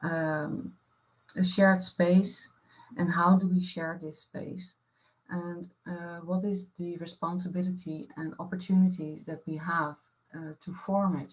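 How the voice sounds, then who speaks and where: A woman speaks at a fairly slow pace with fairly low pitch and fairly even intonation. Her voice is somewhat breathy, with big swings in loudness. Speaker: artist-researcher. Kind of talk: panel discussion. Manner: halting, many fillers.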